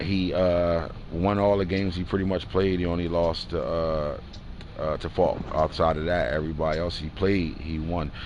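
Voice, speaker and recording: A man's very deep, low voice with fairly even intonation, audible room echo and noticeable background noise. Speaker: gaming livestream host. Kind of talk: casual livestream talk recapping game results. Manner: fast.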